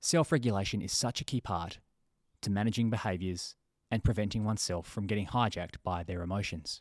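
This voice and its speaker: A man with an Australian accent talks at a fairly quick pace and fairly low pitch, with ordinary pitch variation. The recording is very clean and dry, close, with a silent background and no echo. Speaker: podcast host and therapist. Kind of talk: interview.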